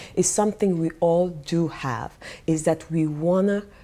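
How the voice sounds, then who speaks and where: Speaking with a non-native accent, a woman has a dark, mellow tone, a fairly low pitch and ordinary pitch variation. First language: not English. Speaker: life coach and vlogger. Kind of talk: vlog monologue. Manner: pauses while searching for words.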